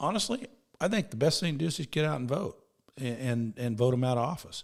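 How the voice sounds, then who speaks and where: Lively intonation from a man with a fairly high pitch. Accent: Midwestern American. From US Midwest, central Illinois. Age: 60s. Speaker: politician. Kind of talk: interview. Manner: halting, frequent repetitions and restarts.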